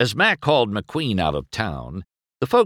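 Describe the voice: The text is read aloud plainly, and the background stays quiet.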